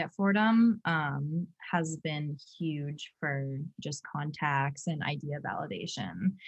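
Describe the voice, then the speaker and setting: A woman's very deep, low pitch, somewhat breathy. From US Northeast, New Hampshire seacoast. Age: 20s. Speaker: fashion entrepreneur, recent graduate. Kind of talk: interview.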